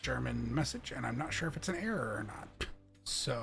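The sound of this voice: The voice heard here is an unforced reading voice.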